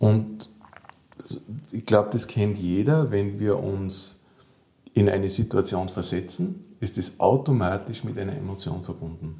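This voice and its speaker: Against noticeable background noise, a man with a fairly low pitch speaks at a fairly slow pace with ordinary pitch variation and long, frequent pauses. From Austria, Salzburg. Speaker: physiotherapist and psychotherapist. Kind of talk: interview. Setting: therapy practice.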